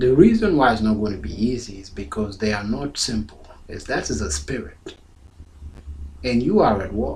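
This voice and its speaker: Over noticeable background noise and audible room echo, a man with a fairly low pitch talks at a moderate pace, making very wide pitch swings and big swings in loudness. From South Sudan. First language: Dinka. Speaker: pastor. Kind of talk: sermon.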